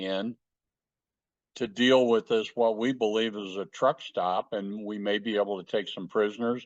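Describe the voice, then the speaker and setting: A man's normal speaking voice at medium pitch and moderate pace, fairly even in intonation, with a dry, close sound, no echo and a quiet background. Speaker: war veteran. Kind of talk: interview answer.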